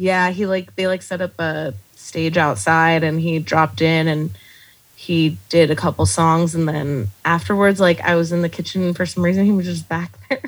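A woman in an American accent with an ordinary speaking voice, fairly low in pitch, ordinary pitch variation and a moderate pace. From Texas, El Paso. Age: 30s. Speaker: comedy writer and bartender. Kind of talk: casual interview chat.

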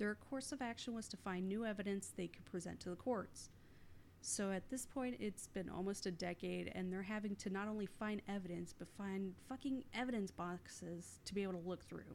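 Ordinary pitch variation and a moderate pace mark this plain, everyday voice. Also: woman, medium pitch for a woman. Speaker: podcast host. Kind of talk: casual chat.

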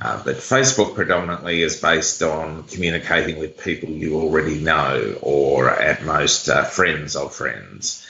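With an Australian accent and a very deep, low pitch, a man talks with hardly any pauses. Noticeable background noise is present. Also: ordinary pitch variation, moderate pace. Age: 40s. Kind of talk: interview.

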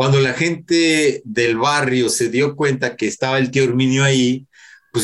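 A man's medium-pitched, ordinary speaking voice at a fairly slow pace, with fairly even intonation. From Mexico City. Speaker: rock musician. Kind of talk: interview.

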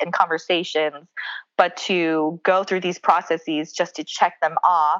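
A woman with an ordinary speaking voice in an American accent, fairly low in pitch, at a fairly slow pace over a quiet background. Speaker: pastor and author. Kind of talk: casual interview chat.

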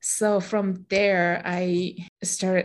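A woman speaks at a medium pitch in a flat monotone, with a Japanese accent, against a quiet background. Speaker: meditation teacher and podcaster, former legal professional. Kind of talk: casual interview chat, personal storytelling.

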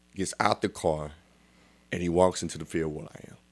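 A man with an American accent speaks at a moderate pace on a very clean recording with a silent background. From Texas, Dallas. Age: 40s. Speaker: church elder. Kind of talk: testimony. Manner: animated.

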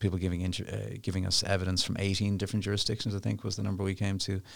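In a very clean recording with a silent background, a man talks in a very deep, low pitch with an Irish accent. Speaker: international lawyer. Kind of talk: interview. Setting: studio. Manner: fast.

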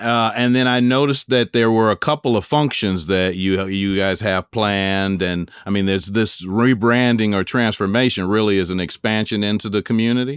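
A man with an American accent and a fairly low voice, an unremarkable speaking voice, moderate pace with hardly any pauses, ordinary pitch variation, dry, close sound with no echo, very clean recording and silent background. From Chicago. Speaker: podcast host and author. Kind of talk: interview.

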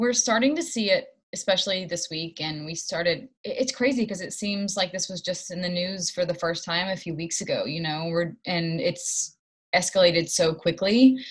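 Somewhat breathy and medium in pitch, a woman speaks at a moderate pace. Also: ordinary pitch variation. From Knoxville, Tennessee. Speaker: musical theater actress. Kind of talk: casual interview.

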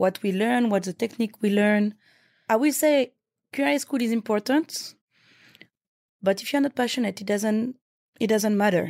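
Speaking with a French accent at a moderate pace, a woman with a fairly high pitch and ordinary pitch variation comes through on a very clean recording with a silent background and a dry, close sound with no echo. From France, Paris. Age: young. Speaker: chef. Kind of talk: interview.

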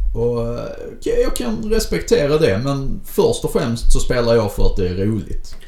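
Fairly slow speech from a man with audible room echo. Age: 30s. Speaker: podcast co-host and game master. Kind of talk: casual chat.

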